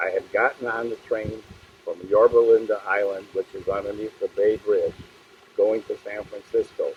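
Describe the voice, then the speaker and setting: A man speaks at a moderate pace with an American accent. Noticeable background noise runs under his voice. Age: 90s. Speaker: war veteran. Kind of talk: testimony.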